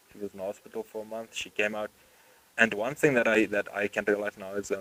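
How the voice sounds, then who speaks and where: The delivery is monotone and flat at a fairly quick pace, with a South African accent. The sound is dry and close, with no echo. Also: man. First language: Afrikaans. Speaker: podcast host. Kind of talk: casual chat.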